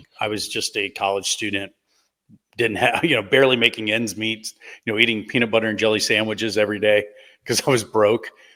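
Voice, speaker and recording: A man with an American accent talks at a very fast pace. His tone is bright and sharp, his intonation monotone and flat. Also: fairly low pitch for a man, very clean recording, silent background. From US South, Gulf Coast of Mississippi. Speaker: patent attorney. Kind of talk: interview storytelling.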